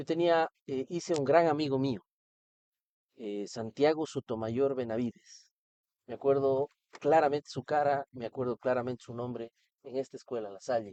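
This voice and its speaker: A dark, mellow tone comes through a dry, close sound with no echo, at a moderate pace with ordinary pitch variation, long, frequent pauses and big swings in loudness. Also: man, medium pitch for a man. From Ecuador, Cuenca. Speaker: political candidate. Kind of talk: interview.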